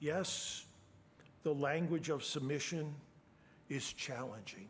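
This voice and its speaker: Somewhat breathy and very slow, the voice shows ordinary pitch variation against audible room echo. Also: man, fairly high pitch for a man. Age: 70s. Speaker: preacher. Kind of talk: sermon.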